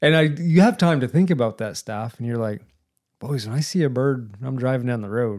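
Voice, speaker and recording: At a fairly quick pace, an unremarkable speaking voice in an American accent moves with ordinary pitch variation. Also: man, medium pitch for a man, very clean recording, silent background. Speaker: podcast host. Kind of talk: casual conversation.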